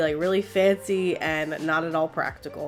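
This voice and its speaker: Music can be heard in the background. Over it, a woman talks. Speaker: doll customizer. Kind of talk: tutorial. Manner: casual.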